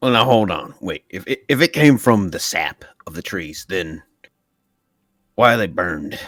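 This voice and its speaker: A raspy, put-on character voice moves at a moderate pace with long, frequent pauses. Pitch swings very widely and loudness shifts a lot, with a dry, close sound and no echo. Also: man, fairly low pitch for a man. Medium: actual play. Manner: blunt, casual.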